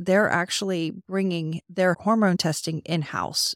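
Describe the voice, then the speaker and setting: On a very clean recording with a silent background and a dry, close sound with no echo, a woman with a fairly low voice speaks at a moderate pace with ordinary pitch variation, an unremarkable speaking voice. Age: 40s. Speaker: podcast host. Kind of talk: interview; scripted narration.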